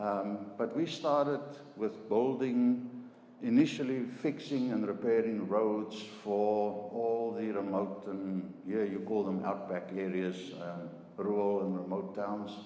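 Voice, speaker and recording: A man with a South African accent speaks at a very slow pace and fairly low pitch, with ordinary pitch variation. Audible room echo and noticeable background noise surround the recording. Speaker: chemical engineer. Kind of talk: business presentation. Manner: halting, many fillers and repetitions.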